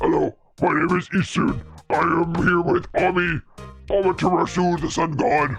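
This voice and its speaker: A man's put-on character voice, high in pitch, at a moderate pace over faint background music. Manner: cheerful, introducing himself.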